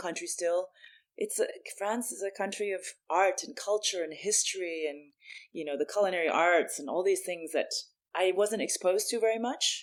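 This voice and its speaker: Speaking in a plain, everyday voice with an American accent, the speaker moves at a fairly quick pace with big swings in loudness. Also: woman. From US Midwest, St. Louis, Missouri. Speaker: bar industry consultant. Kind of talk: podcast interview.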